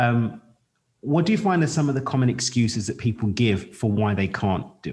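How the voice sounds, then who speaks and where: With a London accent, a man with a somewhat breathy, medium-pitched voice speaks at a moderate pace with lively intonation. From East London, England. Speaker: podcast host. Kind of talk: interview conversation.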